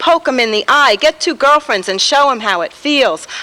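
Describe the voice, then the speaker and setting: In a New York accent, a woman speaks at a moderate pace. Her tone is bright and sharp, with very wide pitch swings. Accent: New York (Bronx). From New York, the Bronx. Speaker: poet. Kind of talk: poetry reading. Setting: taped TV show at a bar venue.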